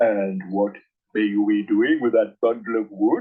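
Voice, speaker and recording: A man's put-on character voice, fairly low in pitch, at a moderate pace. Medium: read story. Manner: eager, greedy.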